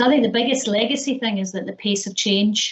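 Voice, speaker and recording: A woman's medium-pitched voice with a Scottish accent and fairly even intonation. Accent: Scottish, retained. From Scotland. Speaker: business executive, panelist. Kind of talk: panel discussion.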